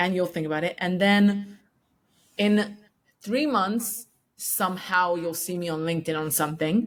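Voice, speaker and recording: With a non-native accent, a woman talks at a moderate pace in a medium pitch, with ordinary pitch variation and long, frequent pauses. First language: not English. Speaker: podcast host interviewing founders. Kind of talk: casual interview chat. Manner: hesitant, many fillers.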